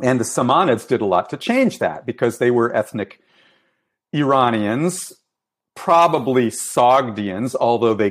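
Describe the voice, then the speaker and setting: This man's voice sits at a medium pitch with ordinary pitch variation, and he speaks fairly slowly. The recording is very clean, with a silent background. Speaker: professor of Iranian studies. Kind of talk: academic interview. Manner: hesitant, many fillers, lecturing.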